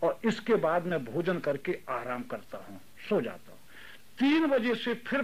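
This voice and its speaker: The voice belongs to a man whose pitch swings very widely. The recording is very clean, with a silent background. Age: 70s. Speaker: retired teacher and private tutor. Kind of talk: interview.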